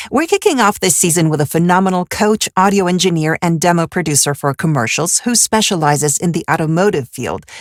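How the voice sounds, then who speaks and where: In a dry, close sound with no echo, a woman with a plain, everyday voice talks at a fairly quick pace with fairly low pitch, ordinary pitch variation and hardly any pauses. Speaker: podcast host, voice actor and actress. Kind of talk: podcast interview, host speaking.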